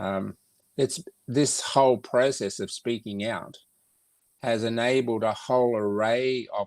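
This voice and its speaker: A man talks at medium pitch and a fairly slow pace with fairly even intonation. The very clean recording has a silent background and a dry, close sound with no echo. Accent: Australian. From Australia. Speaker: foundation organizer. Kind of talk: casual interview. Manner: halting.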